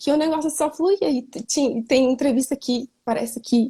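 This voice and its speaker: A woman's high-pitched voice, dark and mellow in tone, with ordinary pitch variation at a fairly slow pace, in a dry, close sound with no echo. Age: 20s. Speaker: mentee. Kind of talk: casual chat.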